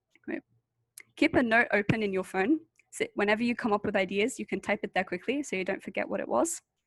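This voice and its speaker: Speaking very fast, a woman uses lively intonation at a fairly high pitch. The sound is dry and close, with no echo. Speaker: university student presenter. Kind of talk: tutorial webinar. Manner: casual, conversational.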